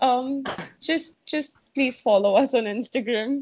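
At a moderate pace, a woman talks in a high voice with ordinary pitch variation. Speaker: podcast host. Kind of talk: casual chat.

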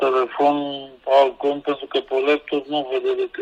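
A man at a fairly slow pace, dry and close with no echo, amid noticeable background noise. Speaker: guest with a tech problem.

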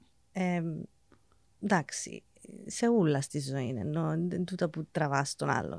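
A woman with an English accent, a very deep, low pitch, vocal fry and lively intonation, at a fairly slow pace with long, frequent pauses. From England. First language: English (speaking Greek). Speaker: teacher. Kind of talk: casual chat.

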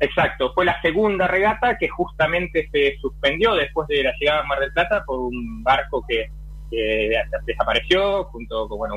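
A man keeps a moderate pace, noticeable background noise present the whole time. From Argentina, Buenos Aires. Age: 40s. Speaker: offshore sailor. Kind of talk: interview.

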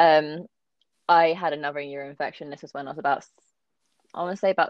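A woman with a southern English accent speaks at a very fast pace. Her very deep, low voice stays monotone and flat. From London area, England. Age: 20s. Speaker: kidney transplant patient. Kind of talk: casual interview.

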